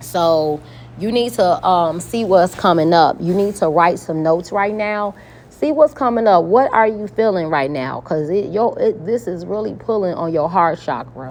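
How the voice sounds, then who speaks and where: Speaking at a moderate pace, a woman's voice stays fairly low in pitch. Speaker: tarot card reader. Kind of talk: spiritual card reading. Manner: calm; matter-of-fact.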